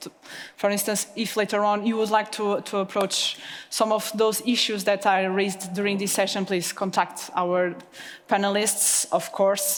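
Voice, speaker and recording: At a moderate pace, a woman with medium pitch talks in a monotone, flat intonation amid noticeable background noise. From Portugal. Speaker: panel moderator. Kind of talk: panel moderation.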